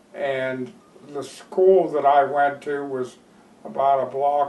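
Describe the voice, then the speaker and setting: This man's fairly high voice moves at a very slow pace with fairly even intonation over noticeable background noise. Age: 70s. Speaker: horse breeder. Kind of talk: interview storytelling. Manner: hesitant, with fillers.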